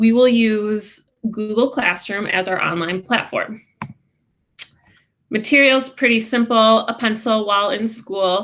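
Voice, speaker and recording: A woman with a Midwestern accent speaks at a fairly slow pace and fairly high pitch, with fairly even intonation and long, frequent pauses. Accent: Midwest. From Wisconsin. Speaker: special education teacher. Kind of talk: class introduction presentation.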